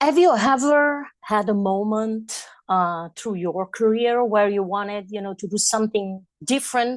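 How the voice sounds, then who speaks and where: This woman has a fairly high pitch and an Italian accent, talking at a fairly slow pace. She hardly pauses, over a quiet background. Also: ordinary pitch variation. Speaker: radio host. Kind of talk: interview.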